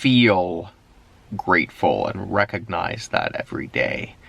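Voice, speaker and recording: Against noticeable background noise, a man speaks in a fairly low pitch. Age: 30s. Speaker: vlogger. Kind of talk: daily video diary. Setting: in a parked car at night.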